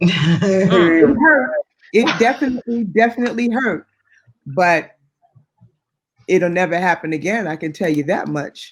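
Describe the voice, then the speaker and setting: A woman at a medium pitch talks at a fairly slow pace with lively intonation and long, frequent pauses. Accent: American. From New York, Queens. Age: 50s. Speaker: house music singer. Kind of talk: interview.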